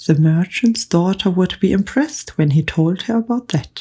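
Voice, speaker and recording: A calm, soft-spoken woman whispering in a somewhat breathy voice. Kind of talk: audiobook reading. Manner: soft-spoken, whispered, calm.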